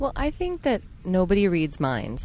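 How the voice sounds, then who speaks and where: There is noticeable background noise behind this woman, whose voice sits at a medium pitch. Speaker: yoga teacher and musician. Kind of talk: casual chat. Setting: outdoors in a park.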